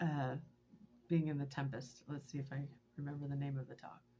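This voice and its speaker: The woman's voice is somewhat breathy. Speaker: vlogger and teacher. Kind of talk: personal video diary. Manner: halting, many fillers.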